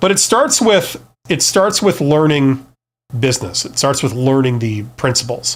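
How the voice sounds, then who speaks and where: A man with a Canadian accent speaks in an unremarkable speaking voice, fairly high in pitch, fairly slowly and with lively intonation. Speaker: business youtuber, former CEO. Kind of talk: live stream talk. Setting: live stream. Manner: casual, with fillers and repeats.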